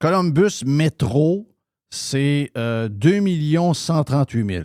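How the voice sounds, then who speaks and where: A man with a Quebec accent speaks very slowly in a fairly high pitch with lively intonation, the sound dry and close with no echo. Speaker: radio host. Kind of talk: talk radio show. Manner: casual, conversational.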